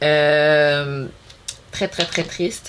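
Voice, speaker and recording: There is noticeable background noise. Over it, a woman talks very slowly. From Montreal, Quebec. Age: 30s. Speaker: beauty youtuber. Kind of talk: casual vlog chat. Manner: hesitant, many fillers and code-switches.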